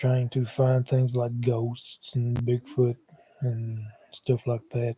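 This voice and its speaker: An American-accented man speaks very slowly at medium pitch, his tone dark and mellow, somewhat breathy, with monotone, flat intonation. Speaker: paranormal YouTuber. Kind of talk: livestream monologue. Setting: live stream on laptop. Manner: hesitant with many fillers. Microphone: laptop mic, sound changed when moved closer.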